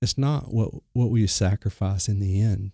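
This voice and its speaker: Somewhat breathy and fairly low-pitched, a man speaks at a moderate pace with fairly even intonation, in a very clean recording with a silent background and a dry, close sound with no echo. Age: 30s. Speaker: ministry recovery coordinator. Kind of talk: interview. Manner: halting.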